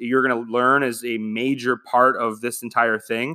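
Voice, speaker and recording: A man with an American accent and a bright, sharp tone is heard in a very clean recording with a silent background. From Michigan. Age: 20s. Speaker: podcaster. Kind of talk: casual monologue.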